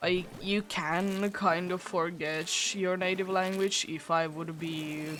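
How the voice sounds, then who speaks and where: A woman with a Finnish accent speaks very slowly in a monotone, flat intonation. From Finland. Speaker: streamer. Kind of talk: casual chat.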